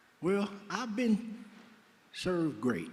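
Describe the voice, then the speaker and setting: Audible room echo surrounds a man with an American accent who speaks at a high pitch. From Oakland, California. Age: 60s. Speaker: former prisoner in a reentry program. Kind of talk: interview on stage. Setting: benefit dinner, stage with audience.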